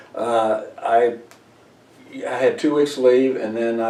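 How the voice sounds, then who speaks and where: A man at a medium pitch with an American accent, monotone and flat, at a fairly slow pace over noticeable background noise. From Missouri, US Midwest. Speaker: Air Force veteran. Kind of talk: oral history interview. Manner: halting, many fillers.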